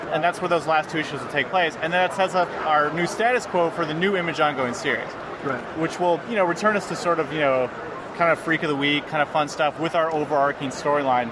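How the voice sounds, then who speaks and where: Noticeable background noise sits behind a man talking at a very fast pace. His voice is fairly high, with ordinary pitch variation. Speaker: comic book writer. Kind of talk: casual interview at a convention. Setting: convention floor.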